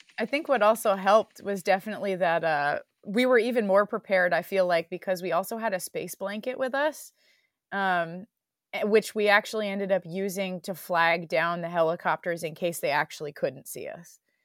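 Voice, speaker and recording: An unremarkable speaking voice from a woman, medium in pitch with ordinary pitch variation, comes at a moderate pace in a very clean recording with a silent background and a dry, close sound with no echo. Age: 20s. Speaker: PhD student and climber. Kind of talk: interview, personal accident story.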